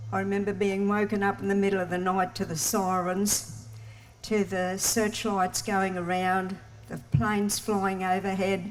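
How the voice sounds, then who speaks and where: With an Australian accent, a woman speaks at a medium pitch and a moderate pace, with ordinary pitch variation. Music plays in the background. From Australia, Townsville, Queensland. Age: 80s+. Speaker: local storyteller. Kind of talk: personal storytelling talk. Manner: halting.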